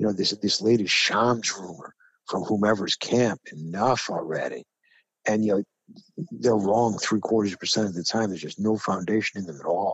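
A man with a New York accent and a fairly low pitch talks at a moderate pace. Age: 60s. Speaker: sports talk co-host. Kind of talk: casual sports debate chat. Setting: studio. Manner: animated.

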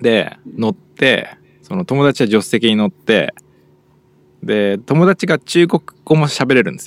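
A man's fairly high voice with a Japanese accent, fairly quick pace, very wide pitch swings, long and frequent pauses, and a dry, close sound with no echo. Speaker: podcast host. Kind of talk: casual bilingual chat.

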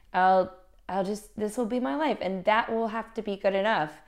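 An ordinary speaking voice from a woman with an American accent, at a moderate pace with ordinary pitch variation, against a quiet background. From US South, Little Rock, Arkansas. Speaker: musician. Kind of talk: casual interview.

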